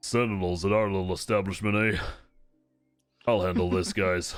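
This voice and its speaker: Putting on a gruff character voice, a man speaks at a fairly low pitch and a moderate pace. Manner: scoffing, gruff.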